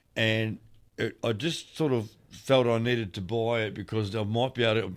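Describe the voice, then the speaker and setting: Speaking with an Australian accent, a man keeps a medium pitch and a moderate pace. The recording is very clean, with a silent background. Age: 60s. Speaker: podcast co-host. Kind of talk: casual chat. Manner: halting, lots of fillers.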